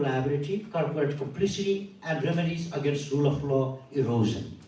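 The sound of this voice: Strong room echo surrounds a man with a fairly high pitch and a slightly mellow tone. He keeps a moderate pace with ordinary pitch variation.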